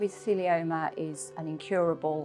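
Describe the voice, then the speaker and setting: A woman with a Yorkshire accent speaks at a moderate pace in a very deep, low pitch. Music plays in the background. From Yorkshire, England. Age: 50s. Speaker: mesothelioma patient. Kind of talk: interview answer.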